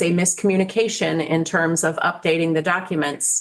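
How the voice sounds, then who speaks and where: An unremarkable speaking voice from a woman, fairly low in pitch. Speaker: state secretary of state testifying to committee. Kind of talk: committee testimony.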